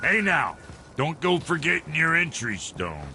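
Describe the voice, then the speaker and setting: A man's raspy put-on character voice, fairly high in pitch, at a moderate pace with clear background noise. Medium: video game. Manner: folksy, blunt, slangy.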